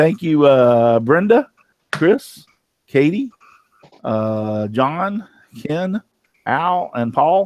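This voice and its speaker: Speaking with a Texan accent, a man uses a fairly high pitch and lively intonation at a very slow pace. Long, frequent pauses stand out in a dry, close sound with no echo. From Texas. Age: 50s. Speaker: woodworking show host. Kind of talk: casual chat.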